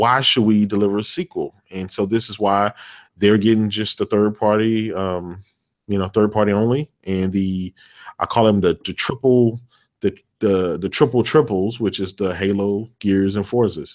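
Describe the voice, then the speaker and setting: A man with an American accent and an unremarkable speaking voice, fairly low pitch, a moderate pace, and a very clean, dry, close recording with no echo and a silent background. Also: fairly even intonation. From Texas. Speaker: gaming podcast guest. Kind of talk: casual chat.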